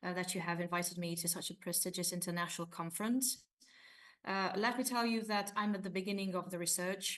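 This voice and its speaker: Speaking with a Hungarian accent, a woman of medium pitch keeps her intonation fairly even. Her pace is very fast, and audible room echo surrounds her voice. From Romania, ethnic Hungarian minority. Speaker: university lecturer and researcher. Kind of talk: conference presentation. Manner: hesitant, many fillers.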